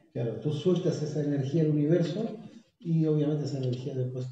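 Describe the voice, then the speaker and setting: Through strong room echo, a man with a fairly high pitch and ordinary pitch variation talks at a fairly quick pace. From Chile. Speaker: guest. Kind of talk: casual conversational talk on spirituality. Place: home room. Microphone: phone near.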